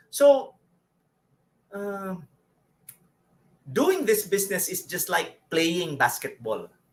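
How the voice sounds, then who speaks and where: With lively intonation and a high pitch, a man talks at a fairly slow pace, leaving long, frequent pauses. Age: 50s. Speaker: network marketing leader. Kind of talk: online Q&A session.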